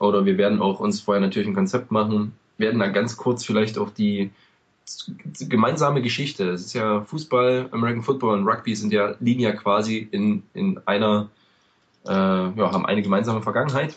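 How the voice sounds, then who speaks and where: Fairly even intonation in a man's plain, everyday voice, pitched fairly low. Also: moderate pace. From eastern Germany. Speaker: podcast host, American football fan. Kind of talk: casual podcast chat.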